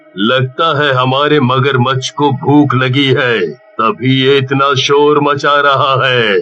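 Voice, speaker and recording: A man puts on a cartoonish character voice with a menacing tone at a very slow pace. His pitch sits in the medium range. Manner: menacing, gloating.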